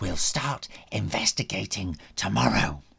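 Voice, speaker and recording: Whispering in a croaky, put-on character voice, a man goes at a fairly slow pace. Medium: read story.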